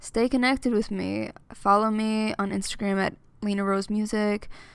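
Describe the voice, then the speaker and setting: A woman's medium-pitched voice with an American accent, at a fairly slow pace. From US Northeast (Amityville, New York). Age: 20s. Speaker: singer and student. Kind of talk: casual monologue.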